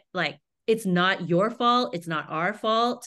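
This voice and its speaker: A woman speaks at a fairly slow pace in a bright, sharp tone. Her pitch varies in an ordinary way over a quiet background. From Houston, Texas. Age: 40s. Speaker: runner and writer. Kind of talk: casual interview.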